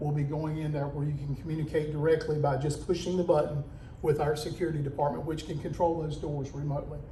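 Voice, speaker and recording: Fairly high-pitched male voice, audible room echo and noticeable background noise. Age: 50s. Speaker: public safety director. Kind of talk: community meeting talk. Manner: loud; casual, folksy.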